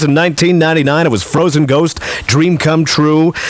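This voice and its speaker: A man speaks with a fairly high pitch and fairly even intonation. Noticeable background noise runs under his voice. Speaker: radio host. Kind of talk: radio show host patter, aircheck.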